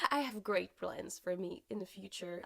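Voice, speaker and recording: Music plays in the background as a woman speaks. She has a French accent and a moderate pace. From France. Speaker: singer-songwriter and book vlogger. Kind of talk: casual book review vlog.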